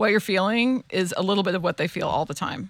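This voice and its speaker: Talking at a very fast pace, a woman has a medium pitch and a bright, sharp tone with fairly even intonation. The recording is very clean, with a silent background. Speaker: blogger and social commentator. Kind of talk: casual chat. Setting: studio.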